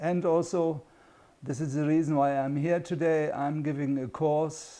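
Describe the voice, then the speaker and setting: Dark, mellow tone with fairly even intonation and a German accent. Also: man. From Germany. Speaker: international consultant and course instructor. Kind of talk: course introduction.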